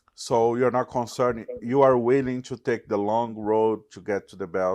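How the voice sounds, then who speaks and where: Over a quiet background, a man with a Portuguese accent speaks at a medium pitch and a moderate pace, with fairly even intonation and big swings in loudness. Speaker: MMA journalist. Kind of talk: interview.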